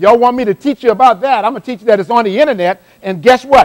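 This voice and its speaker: A man with an American accent speaks at an extremely high pitch, in an animated tone with lively intonation. The sound is dry and close, with no echo. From South Carolina Lowcountry (Johns Island). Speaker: motivational speaker. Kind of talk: live motivational workshop talk. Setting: stage with live audience. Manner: fast.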